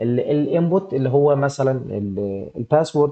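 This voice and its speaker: Speaking with an Egyptian accent, a man of medium pitch uses lively intonation at a moderate pace. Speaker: programming instructor. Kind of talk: live online class tutorial. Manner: animated, gets louder when excited; halting, many repeated fillers.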